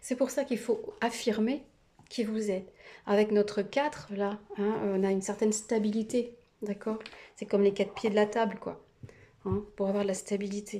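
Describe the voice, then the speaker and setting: A woman speaks at a moderate pace with a fairly high pitch. Her intonation is monotone and flat, while her loudness swings widely. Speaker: tarot card reader. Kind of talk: tarot reading video. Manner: hesitant with many fillers.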